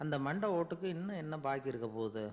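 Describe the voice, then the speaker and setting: A man's fairly high voice with lively intonation. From Tamil Nadu. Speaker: orator, radio broadcaster. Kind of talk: radio storytelling talk. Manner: easy, conversational, humorous.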